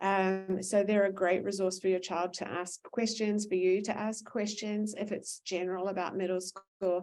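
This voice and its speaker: This speaker has a New Zealand accent and a moderate pace. The intonation stays monotone and flat, with hardly any pauses. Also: woman, medium pitch for a woman. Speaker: school administrator. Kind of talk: parent information session Q&A. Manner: many filler words and hesitations.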